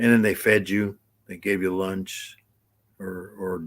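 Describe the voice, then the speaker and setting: This man has a very deep, low pitch. The sound is dry and close, with no echo. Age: 60s. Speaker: live streamer. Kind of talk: casual chat. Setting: live stream. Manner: halting, many fillers and repeats.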